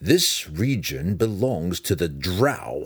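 A man puts on a growling character voice, very deep and low, with lively intonation at a very slow pace.

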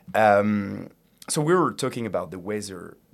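Fairly low in pitch, a man speaks with a French accent. The recording is very clean, with a silent background. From France. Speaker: student podcast host. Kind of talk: casual interview.

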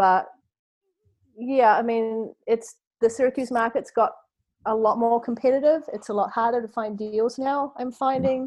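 A woman with a New Zealand accent, fairly high in pitch and fairly even in intonation, at a moderate pace with long, frequent pauses, over a quiet background. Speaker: model and real estate investor. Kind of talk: interview. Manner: chatty, frequent filler words.

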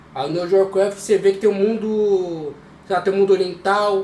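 A man speaks in a high pitch with monotone, flat intonation. Noticeable background noise is present. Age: 20s. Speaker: podcast co-member, RPG player. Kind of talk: casual chat.

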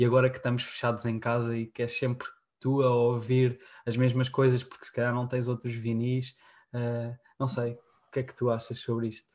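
On a very clean recording with a silent background, a man speaks with monotone, flat intonation and big swings in loudness. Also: medium pitch for a man, moderate pace. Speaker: podcast host. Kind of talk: casual chat.

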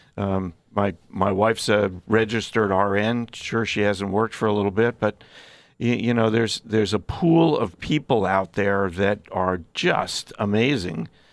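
Here a man speaks in a normal speaking voice at a fairly low pitch for a man, with ordinary pitch variation and a moderate pace. The recording is very clean, with a silent background. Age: 60s. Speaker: physician specializing in addiction. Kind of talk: interview.

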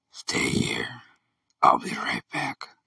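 The voice is raspy. It is a put-on character voice. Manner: eerie.

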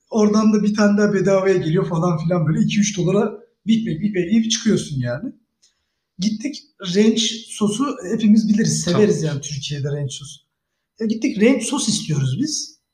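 A man's voice sits high in pitch, with lively intonation and a moderate pace. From Turkey, Bursa. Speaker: former exchange program participant. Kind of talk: casual chat.

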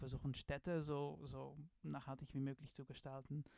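A man speaks in a dark, mellow tone at a fairly high pitch. His intonation is monotone and flat. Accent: Dutch. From Netherlands. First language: Dutch (speaking German). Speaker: design professor. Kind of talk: interview. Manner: halting, many filler sounds.

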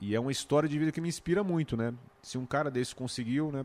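At a very fast pace, a man talks with a fairly high pitch in a very clean recording with a silent background. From Brazil, Goiás near Brasília. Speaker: YouTuber and music entrepreneur. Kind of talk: casual chat.

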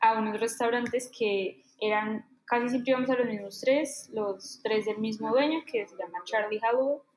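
A woman with a fairly high pitch talks in an ordinary speaking voice. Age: 20s. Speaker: illustrator and baker. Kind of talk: casual interview.

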